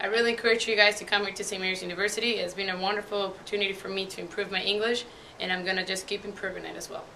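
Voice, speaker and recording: A woman with a Mexican accent, very fast and monotone with flat intonation, medium-pitched, over noticeable background noise. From Mexico, Puebla. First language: Spanish. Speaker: university student. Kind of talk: testimony. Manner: casual, filler-heavy.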